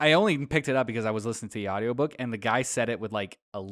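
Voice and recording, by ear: Reading aloud in a natural voice, with ordinary pitch variation and a quiet background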